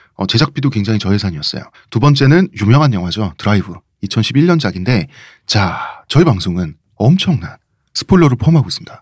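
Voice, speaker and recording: A man speaks at a fairly quick pace with very wide pitch swings and a somewhat breathy voice. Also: medium pitch for a man, very clean recording, silent background. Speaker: podcast host and writer. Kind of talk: casual chat.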